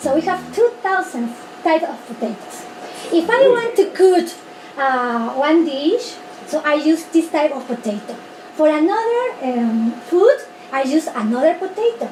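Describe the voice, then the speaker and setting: With noticeable background noise behind her, a woman speaks at an extremely high pitch and a fairly slow pace, her pitch swinging very widely. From Peru, from Pisco. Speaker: high school teacher giving a talk about his country. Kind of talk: presentation to a small group. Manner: slow, halting non-native English.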